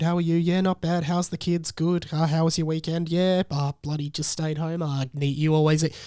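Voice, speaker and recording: With an Australian accent, a man speaks in a high pitch. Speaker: podcast host. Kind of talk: casual podcast monologue. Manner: low energy; halting.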